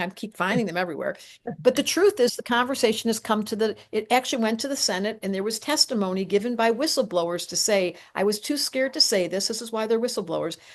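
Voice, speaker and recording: A woman speaks at a very fast pace with a fairly high pitch. Her tone is animated, and her pitch varies in an ordinary way. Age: 60s. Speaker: astrologer. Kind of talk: casual chat.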